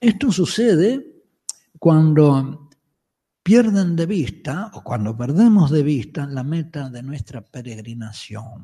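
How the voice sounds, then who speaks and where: A man's fairly high voice, somewhat breathy and dark, mellow in tone, with lively intonation. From Uruguay, Montevideo. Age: 70s. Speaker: Jesuit priest and Bible scholar giving a lecture. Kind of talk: conference lecture.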